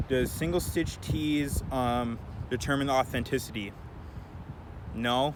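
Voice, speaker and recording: Pausing often and at length, a man speaks at medium pitch with ordinary pitch variation. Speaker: thrift clothing reseller, vlogger. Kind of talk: casual Q&A vlog. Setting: outdoors. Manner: fast.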